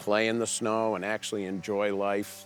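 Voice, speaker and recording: A man speaks at a fairly low pitch. Music plays behind him. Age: 60s. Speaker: chainsaw carver. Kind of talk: documentary interview.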